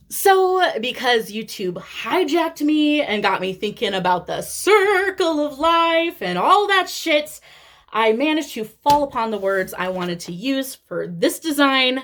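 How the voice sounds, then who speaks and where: With a strong Midwestern accent, a woman speaks in a high voice. Her pitch swings very widely. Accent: thick Midwestern. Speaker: cross-stitch vlogger. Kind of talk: casual vlog monologue. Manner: hesitant, many fillers.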